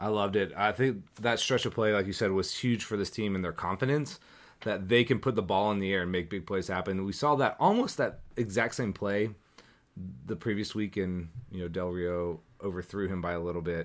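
An unremarkable speaking voice from a man, fairly low in pitch and fairly quick, with ordinary pitch variation. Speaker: podcast host. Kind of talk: casual sports chat.

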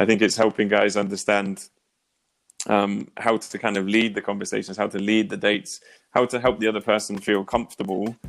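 Over music in the background, a man with a southern English accent talks at a moderate pace in a fairly low, flat monotone. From England, near Oxford. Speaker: dating coach. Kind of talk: casual chat.

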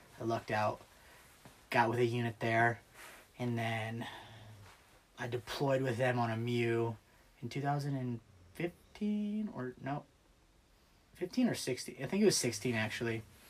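With an American accent, a man speaks at a very slow pace, somewhat breathy, leaving long, frequent pauses. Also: medium pitch for a man, ordinary pitch variation. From US Midwest, small-town Ohio. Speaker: Marine Corps veteran. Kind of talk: casual chat.

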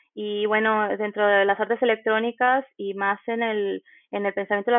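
A woman speaks in a flat, monotone way at a fairly slow pace. Her pitch is fairly high. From Mexico, Nayarit. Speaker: graduate student in electronic arts. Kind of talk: interview. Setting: remote recording. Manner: hesitant with filler words.

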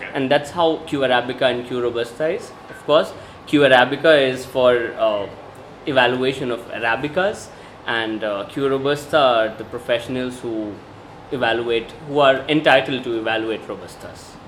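Amid noticeable background noise, a man talks at a moderate pace in a medium pitch with fairly even intonation. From India (Bihar). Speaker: coffee taster and consultant. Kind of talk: casual interview. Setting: coffee shop.

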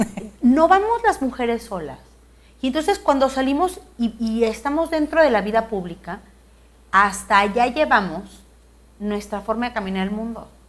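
A woman with a fairly high pitch talks at a moderate pace, her voice making very wide pitch swings and broken by long, frequent pauses. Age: 40s. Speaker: politician. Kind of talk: interview.

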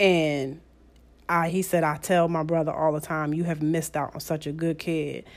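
A woman with a very deep, low pitch talks at a moderate pace in a monotone, flat intonation, recorded very cleanly against a silent background. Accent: American. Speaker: host's mother. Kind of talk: casual chat.

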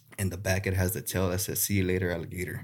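His voice has an American accent. The man's pitch sits very deep and low. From South Texas (Rio Grande Valley). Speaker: gar fishing guide. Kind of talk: casual interview. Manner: halting, many fillers.

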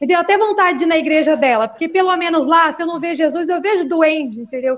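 Speaking at a fairly quick pace, a woman uses an extremely high pitch with ordinary pitch variation. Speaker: stand-up comedian. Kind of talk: stand-up. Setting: video call from phone. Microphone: echo on her audio.

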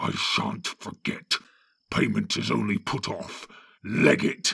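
Growling in a put-on character voice, a man speaks at a fairly slow pace. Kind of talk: coarse. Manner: snarling, threatening.

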